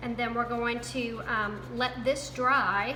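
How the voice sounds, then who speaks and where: A woman talks with a Southern US accent. Noticeable background noise and audible room echo fill the recording. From US South. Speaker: crafting youtuber. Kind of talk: tutorial. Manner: casual, chatty.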